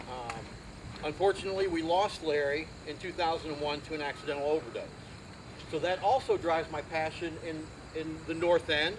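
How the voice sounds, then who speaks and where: With a Midwestern American accent, a man speaks at a fairly quick pace in a fairly high pitch, leaving long, frequent pauses amid noticeable background noise. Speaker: community volunteer, Navy veteran. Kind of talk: outdoor dedication speech. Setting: outdoors at garden event. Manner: animated.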